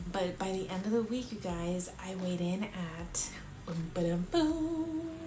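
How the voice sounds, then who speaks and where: A woman talks with lively intonation amid audible room echo and noticeable background noise. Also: medium pitch for a woman, fairly slow pace. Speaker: lifestyle vlogger, mother. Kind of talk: casual vlog. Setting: at home late at night. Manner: quiet, held down so as not to wake kids.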